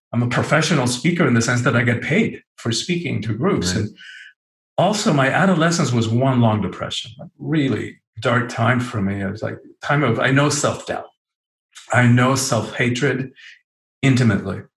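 A man's medium-pitched, somewhat breathy voice with lively intonation at a moderate pace. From Cuba. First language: Spanish. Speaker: author and spiritual speaker. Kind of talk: interview.

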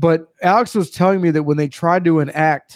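Pitched fairly high, a man speaks in an animated tone on a very clean recording with a silent background. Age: 30s. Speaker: podcast host. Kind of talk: casual chat.

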